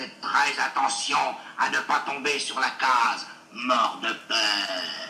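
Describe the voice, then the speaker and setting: A man puts on a character voice at a medium pitch. He speaks at a very slow pace, with slight echo. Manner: eerie, spooky.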